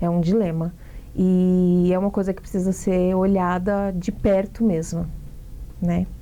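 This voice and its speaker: At a fairly slow pace with long, frequent pauses, a woman of medium pitch speaks in a monotone, flat intonation with a dark, mellow tone and very even loudness. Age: 30s. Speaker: actress and singer. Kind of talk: interview.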